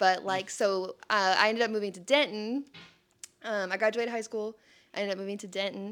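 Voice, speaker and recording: The speaker goes at a fairly quick pace with big swings in loudness and fairly even intonation on a very clean recording with a silent background. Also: woman, medium pitch for a woman. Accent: Texas. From Texas, Sherman. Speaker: speech therapy worker. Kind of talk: testimony. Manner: casual, filler-heavy.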